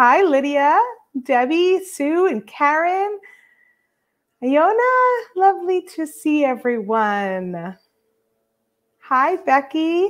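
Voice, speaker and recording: A woman speaks very slowly at a high pitch, with very wide pitch swings. Long, frequent pauses break up her speech against a quiet background. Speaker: beading instructor host. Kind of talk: casual livestream greeting. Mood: cheerful, laughing. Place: home room. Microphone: webcam.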